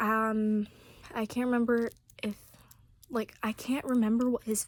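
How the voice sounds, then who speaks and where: Whispering at a fairly slow pace, a woman is heard in a dry, close sound with no echo. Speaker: vlogger. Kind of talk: casual storytelling. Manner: rambling with fillers.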